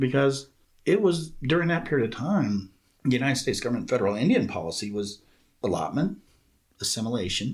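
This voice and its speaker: In an American accent, a man of medium pitch talks at a fairly quick pace with very wide pitch swings, sounding somewhat breathy and taking long, frequent pauses. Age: 60s. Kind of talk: podcast interview.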